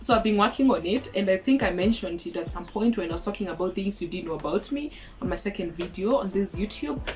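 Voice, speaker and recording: A woman at medium pitch with lively intonation and a fairly quick pace, music in the background. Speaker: YouTube vlogger. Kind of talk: casual vlog monologue. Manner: fast.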